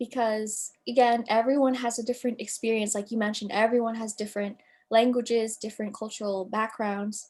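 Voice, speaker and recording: With an American accent and a plain, everyday voice, a woman speaks at a moderate pace in a fairly high pitch with fairly even intonation, in a very clean recording with a silent background. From United States. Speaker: writer. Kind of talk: interview.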